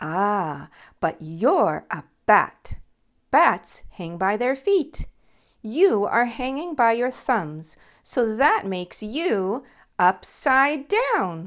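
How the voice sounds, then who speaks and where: A woman puts on a loud character voice, fairly high in pitch. She goes very slowly on a very clean recording with a silent background. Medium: read story.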